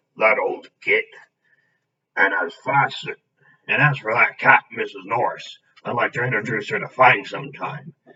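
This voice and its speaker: Raspy put-on character voice at a moderate pace with long, frequent pauses. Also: man, medium pitch for a man. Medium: read story. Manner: gruff, homely.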